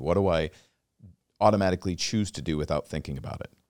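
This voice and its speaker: A man with an American accent speaks with vocal fry. The sound is dry and close with no echo, on a very clean recording with a silent background. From Washington State. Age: 40s. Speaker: podcast host. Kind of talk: casual interview chat.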